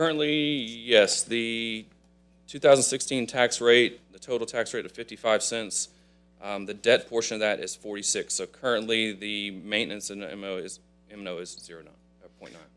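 Over music in the background, a man with a medium pitch speaks with ordinary pitch variation and big swings in loudness. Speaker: district representative presenter. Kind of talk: presentation to council. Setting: council chambers. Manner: fast.

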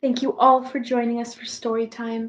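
A woman speaks with a fairly high pitch and little pitch movement. Her pace is moderate.

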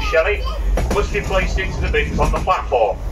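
Loud background noise surrounds the recording. Over it, a man speaks at a fairly quick pace. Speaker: railway staff announcer. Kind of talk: public announcement. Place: train.

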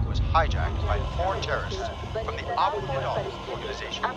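Noticeable background noise sits behind speech delivered at a moderate speed. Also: man. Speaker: voice actor, newscaster voice-over. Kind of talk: news broadcast read in a movie trailer.

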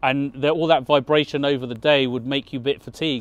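Here a man talks at a fairly quick pace. His intonation is fairly even, and the sound is dry with no echo. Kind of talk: interview answer. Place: street.

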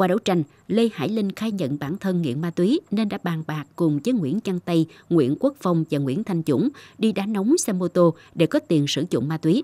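A woman speaks at a moderate pace in a dark, mellow tone with lively intonation. The recording is very clean, with a silent background. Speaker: news presenter. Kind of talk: news reading. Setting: studio. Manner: formal.

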